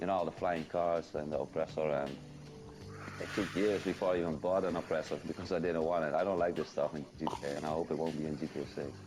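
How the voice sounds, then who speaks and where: Music plays behind a man who talks at a very fast pace in a very deep, low voice with monotone, flat intonation. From Netherlands. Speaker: gaming content creator. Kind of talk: podcast interview.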